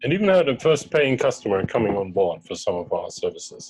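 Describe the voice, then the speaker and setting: Music plays in the background as a man talks with a German accent. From Germany. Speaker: startup co-founder. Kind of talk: investor pitch presentation. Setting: webinar video call.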